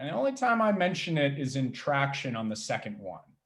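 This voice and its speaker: The pace is moderate. The pitch swings very wide. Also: man. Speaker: pitch coach. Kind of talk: workshop talk. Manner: loud; high energy.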